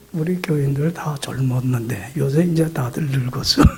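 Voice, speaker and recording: Noticeable noise fills the background. Against it, a man's speech unfolds fairly slowly. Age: 70s. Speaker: pastor. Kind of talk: sermon. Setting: church. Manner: animated.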